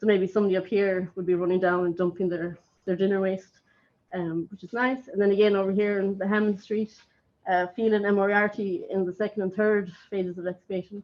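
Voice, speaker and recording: With an Irish accent, a woman speaks at a fairly quick pace in a monotone, flat intonation. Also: medium pitch for a woman. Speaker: archaeologist. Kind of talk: conference talk. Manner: fast; hesitant, many fillers.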